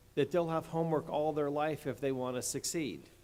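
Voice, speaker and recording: With a New York accent, a man speaks at a moderate pace in a fairly high pitch, his intonation fairly even. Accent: sounds like New York. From Delaware area, US. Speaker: state attorney general, commencement speaker. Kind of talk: commencement speech. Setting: stage with audience in an athletic center.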